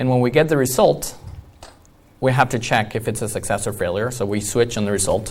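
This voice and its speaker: A man with a non-native accent talks at a fairly quick pace in a somewhat breathy voice, with medium pitch and ordinary pitch variation. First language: not English. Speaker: iOS developer, conference speaker. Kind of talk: conference talk.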